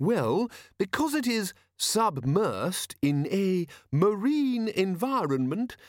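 Putting on a character voice, a man speaks slowly at a high pitch with big pitch swings and a slightly mellow tone, on a very clean recording with a silent background.

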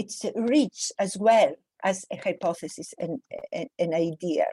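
A woman speaks in a dark, mellow tone, somewhat breathy, with a dry, close sound and no echo. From Greece, small village. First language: Greek. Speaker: professor. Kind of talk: interview.

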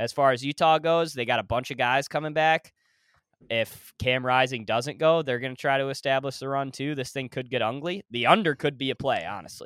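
The recording is very clean, with a silent background. A man talks at a fairly quick pace, with a fairly high pitch and ordinary pitch variation. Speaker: podcast host. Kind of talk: casual chat.

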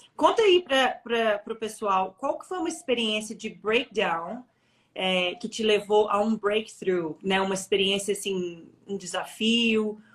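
Here is a normal speaking voice. A woman talks at a fairly slow pace with ordinary pitch variation. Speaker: interview host. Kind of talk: interview. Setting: live online stream.

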